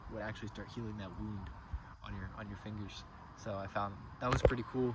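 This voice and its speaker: A man talks at a fairly quick pace, his fairly low pitch showing ordinary pitch variation. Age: 20s. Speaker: landscaping business owner. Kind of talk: casual talk to camera. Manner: rambling, hesitant.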